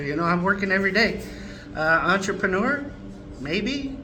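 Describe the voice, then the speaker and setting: A man talks at a fairly quick pace in a raised, projected voice that is high in pitch, with lively intonation. Room echo is audible and background noise is noticeable. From Ontario, Canada (French-speaking upbringing, high school in Egypt). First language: French. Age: 60s. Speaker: restaurant owner. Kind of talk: interview.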